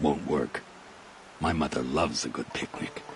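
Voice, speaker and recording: Putting on a raspy character voice, a man speaks at a very deep, low pitch and a moderate pace over clear background noise. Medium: machinima. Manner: menacing, mocking.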